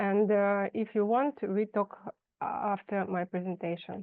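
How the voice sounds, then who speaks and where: At a fairly slow pace, a woman of medium pitch talks with a Russian accent. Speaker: fashion designer. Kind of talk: presentation read aloud. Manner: halting.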